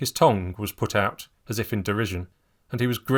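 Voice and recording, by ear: Someone reads the text aloud in a natural voice, the pitch moving in an ordinary way.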